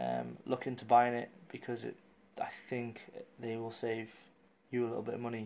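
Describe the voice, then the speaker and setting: At a moderate pace with long, frequent pauses, a man with an English accent speaks at a medium pitch in a monotone, flat intonation. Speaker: vlogger. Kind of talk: casual vlog update. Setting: at home.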